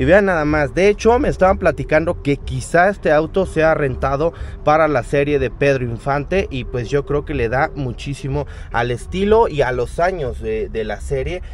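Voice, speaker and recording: A man at a moderate pace, with light background noise and a dry sound with no echo. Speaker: car vlogger. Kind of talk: casual vlog chat. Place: market. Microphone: phone near.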